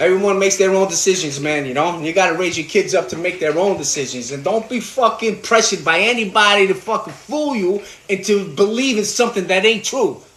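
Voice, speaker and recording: A man with a New York accent speaks high for a man at a fairly quick pace, with ordinary pitch variation and hardly any pauses, over noticeable background noise. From New York, Brooklyn. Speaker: livestreamer cooking and talking. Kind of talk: casual livestream cooking chat. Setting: home kitchen livestream. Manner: animated.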